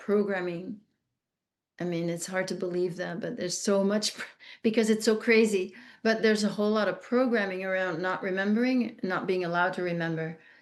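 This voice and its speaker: A woman speaks with a Flemish Belgian accent at a medium pitch. Her pace is fairly quick, her intonation fairly even, and the background quiet. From Belgium (Flemish). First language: Dutch (Flemish). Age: 60s. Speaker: trafficking survivor and speaker. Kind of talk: interview testimony. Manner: halting, many restarts and fillers.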